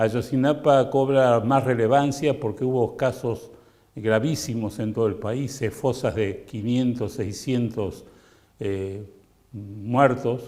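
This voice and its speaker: A man speaks at a very slow pace in a medium pitch. His dark, mellow tone carries ordinary pitch variation. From Argentina. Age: 70s. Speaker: music publisher and documentary maker. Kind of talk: testimonial interview. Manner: hesitant with frequent fillers.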